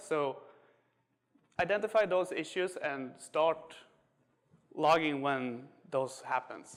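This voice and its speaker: This man has a slight Swedish accent and a fairly high pitch. His pitch varies in an ordinary way. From Sweden. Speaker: software engineer. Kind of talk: tech talk. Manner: hesitant, many fillers.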